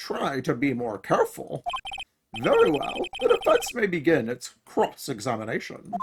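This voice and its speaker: A put-on character voice at middle pitch, delivered at a moderate pace. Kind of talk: formal courtroom speech. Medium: fan dub.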